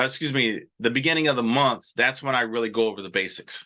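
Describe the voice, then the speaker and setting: A bright, sharp tone with ordinary pitch variation over a quiet background. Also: man. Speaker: trading educator hosting live show. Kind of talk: live stream teaching with chat questions. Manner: fast; casual, filler-heavy.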